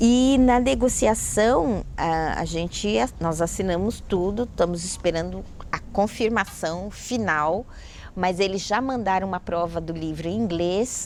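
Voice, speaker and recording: Speaking at a fairly slow pace, a woman has an ordinary speaking voice at medium pitch. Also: ordinary pitch variation. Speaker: writer and educator. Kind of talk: interview storytelling.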